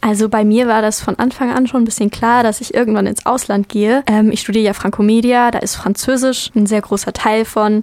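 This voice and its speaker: With hardly any pauses, a woman speaks at a fairly quick pace in a fairly high pitch and monotone, flat intonation. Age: 20s. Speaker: university student. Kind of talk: interview.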